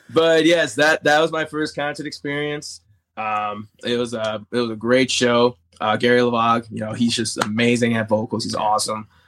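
A man speaks with an American accent at a moderate pace. His medium pitch shows ordinary variation. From Chicago area, US Midwest. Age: 30s. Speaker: country singer-songwriter. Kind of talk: casual interview. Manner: halting, many fillers.

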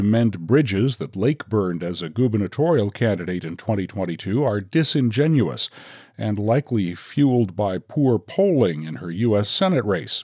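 With an unremarkable speaking voice, a man talks at a moderate pace and medium pitch, using lively intonation and hardly any pauses, in a very clean recording with a silent background. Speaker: news podcast host. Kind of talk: news reading.

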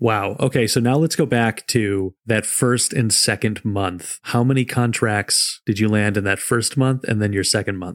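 Dry and close with no echo, the recording holds a man of medium pitch with a normal speaking voice. He keeps a moderate pace and ordinary pitch variation. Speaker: podcast host. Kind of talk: interview.

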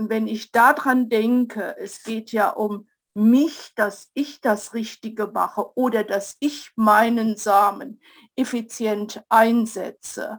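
On a very clean recording with a silent background, a woman speaks at a very slow pace with fairly even intonation. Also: fairly high pitch for a woman. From Zurich Oberland, Switzerland. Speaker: study group participant. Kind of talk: group discussion.

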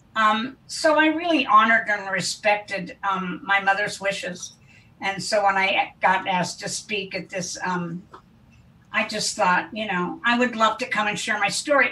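A woman speaks at a fairly slow pace in a medium pitch, with ordinary pitch variation. Noticeable background noise runs underneath. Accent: American. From US Midwest, Wichita, Kansas. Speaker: interventionist. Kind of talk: interview. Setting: video call.

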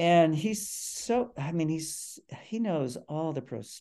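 A man with an American accent talks at a very slow pace, his pitch fairly high and swinging very widely. His tone is dark and mellow. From Cleveland, Ohio. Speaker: crime fiction author. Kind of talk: casual interview chat.

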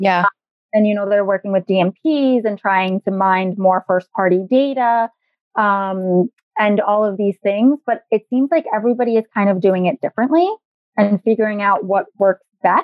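A woman speaks in a New York accent with ordinary pitch variation. Her loudness stays very even. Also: medium pitch for a woman, moderate pace. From New York, the Bronx. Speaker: digital advertising consultant. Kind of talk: interview.

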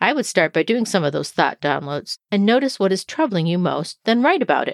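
A woman talks at a fairly quick pace and medium pitch, with very wide pitch swings. The sound is dry and close with no echo, a very clean recording with a silent background. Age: 50s. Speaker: life and weight loss coach, podcast host. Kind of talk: solo podcast monologue.

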